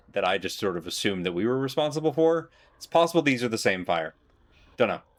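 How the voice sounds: The voice is a natural reading voice. It sounds like something being read aloud.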